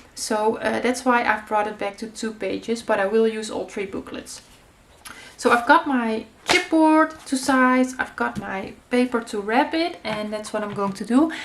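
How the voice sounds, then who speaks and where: With a Dutch accent, the speaker goes at a moderate pace with ordinary pitch variation over noticeable background noise. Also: woman, fairly high pitch for a woman. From Netherlands. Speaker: craft youtuber. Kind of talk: tutorial. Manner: casual, hesitant with many fillers.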